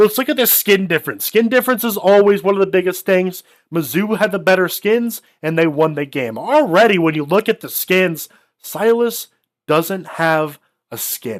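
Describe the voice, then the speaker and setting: A man speaks at a high pitch with lively intonation. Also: moderate pace. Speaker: esports caster. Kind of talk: live commentary. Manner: loud; animated.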